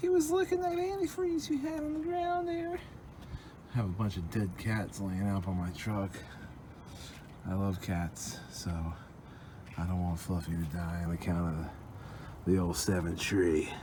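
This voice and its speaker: Amid noticeable background noise and audible room echo, a man talks at a moderate pace with long, frequent pauses. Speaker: DIY truck mechanic. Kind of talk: tutorial. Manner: casual, profane.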